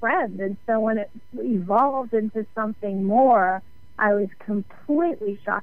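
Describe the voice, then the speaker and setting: A woman's fairly slow speech, fairly high in pitch with ordinary pitch variation, set against music in the background. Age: 60s. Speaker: author and radio host. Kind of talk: radio interview.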